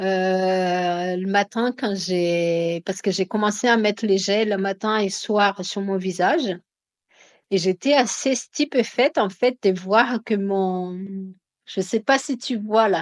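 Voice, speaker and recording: Recorded dry and close with no echo against a quiet background, a woman at a medium pitch speaks at a very slow pace. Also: ordinary pitch variation. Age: 40s. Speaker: product user giving testimonial. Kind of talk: interview testimony. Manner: hesitant, many fillers.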